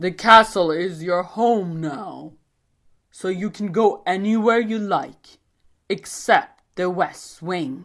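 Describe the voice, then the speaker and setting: A female-sounding, booming put-on character voice speaks at a middle pitch. The pace is very slow, and the recording is very clean with a silent background. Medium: read story. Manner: gruff, commanding.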